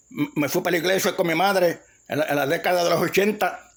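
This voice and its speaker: Keeping his intonation fairly even, a man with a high pitch speaks at a moderate pace. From Puerto Rico, Ponce. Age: 60s. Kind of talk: testimony. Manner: halting, many repetitions and restarts.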